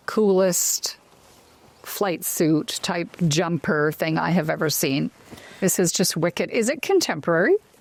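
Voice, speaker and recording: A woman with a Canadian accent talks at a fairly slow pace in an ordinary speaking voice, her pitch fairly low with ordinary variation. Her loudness stays very even, and the sound is dry and close with no echo. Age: 50s. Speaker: talk show host. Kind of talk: casual chat.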